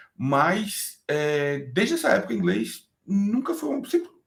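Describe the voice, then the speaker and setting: This man's intonation is lively. His voice is somewhat breathy. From Brazil. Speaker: DevOps engineer. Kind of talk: interview. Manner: casual, hesitant with repetitions.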